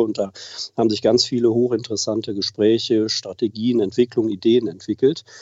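A man talks at a medium pitch and a fairly quick pace. He has a normal speaking voice. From Germany, Oberbergisches Land near Cologne. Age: 50s. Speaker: aviation association president. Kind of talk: interview. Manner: formal.

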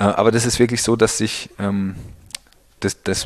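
The speaker is a man. He talks with monotone, flat intonation. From Pfalz, Germany (Birkweiler). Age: 30s. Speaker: winemaker. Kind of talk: interview. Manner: halting, many fillers.

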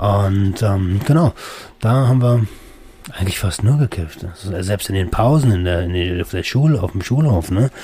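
There is noticeable background noise behind a man's fairly low voice. He keeps a moderate pace with lively intonation. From Berlin, Germany. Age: 30s. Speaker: podcast host. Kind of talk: personal monologue. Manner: casual, with many fillers.

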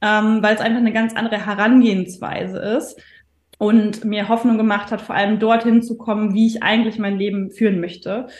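Her pitch sits fairly high for a woman. There is a somewhat breathy quality to the voice. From northern Germany. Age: 30s. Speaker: stress and mindset coach. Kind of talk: podcast interview.

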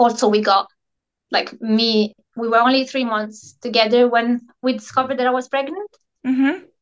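A woman with an Italian accent, high-pitched, at a fairly slow pace. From Italy. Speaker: Instagram coach and energy healer. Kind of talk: casual interview.

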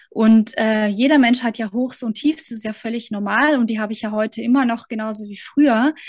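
Speaking at a fairly quick pace with hardly any pauses, a woman uses a fairly high, somewhat breathy voice, fairly even intonation and big swings in loudness. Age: 30s. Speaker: mentor and coach. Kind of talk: interview.

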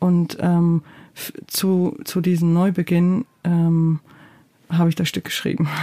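Delivered at a very slow pace with long, frequent pauses, the voice has a dark, mellow tone, monotone, flat intonation and very even loudness, in a dry, close sound with no echo. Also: woman, fairly low pitch for a woman. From Georgia. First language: Georgian (speaking German). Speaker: playwright and theatre director. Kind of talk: interview. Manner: hesitant, many fillers.

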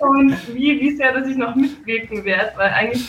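A woman talks at a fairly quick pace, her voice somewhat breathy. Her pitch varies in an ordinary way. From Salzburg, Austria. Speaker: festival co-organizer. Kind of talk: radio interview. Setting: video call.

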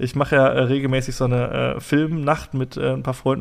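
Fairly even intonation from a man at medium pitch. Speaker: podcast host. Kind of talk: casual chat.

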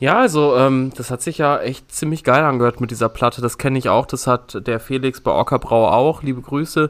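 A normal speaking voice at a fairly quick pace, with fairly even intonation and hardly any pauses. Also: man, medium pitch for a man. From Düsseldorf, Germany. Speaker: hobby brewer podcast co-host. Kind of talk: casual chat.

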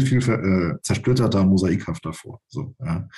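A man's voice with a dark, mellow tone. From Brandenburg, eastern Germany. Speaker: writer and newspaper journalist. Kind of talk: interview. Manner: halting, many fillers.

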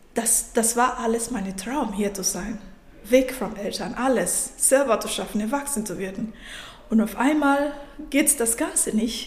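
With a non-native accent, a woman speaks fairly slowly at a fairly high pitch with ordinary pitch variation, amid audible room echo and noticeable background noise. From Nigeria. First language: not German (speaking German). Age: 30s. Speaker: coach and IT specialist. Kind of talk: interview.

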